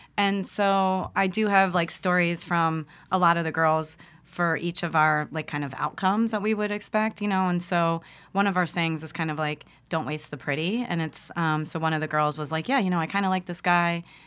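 A woman with an American accent and a plain, everyday voice, fairly low in pitch with ordinary pitch variation, at a moderate pace, on a very clean recording with a silent background. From US Northeast, Philadelphia. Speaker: nonprofit founder and youth educator. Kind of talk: casual interview.

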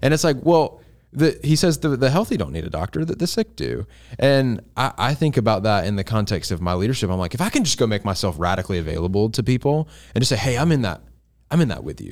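On a very clean recording with a silent background, a man of medium pitch talks very fast with vocal fry and very wide pitch swings. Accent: American. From US South. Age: 20s. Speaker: college pastor. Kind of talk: casual chat.

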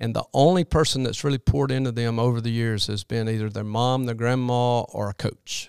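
In an American accent, a man with an ordinary speaking voice talks at a fairly quick pace and medium pitch with ordinary pitch variation, the sound dry and close with no echo. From US South (Alabama, Birmingham area). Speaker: children's minister and basketball character coach. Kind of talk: interview.

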